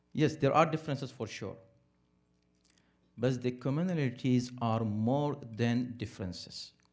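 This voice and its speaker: Over music in the background, a man talks at a moderate pace and medium pitch with ordinary pitch variation, pausing long and often. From India. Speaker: imam. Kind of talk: interfaith talk. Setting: Islamic center with audience.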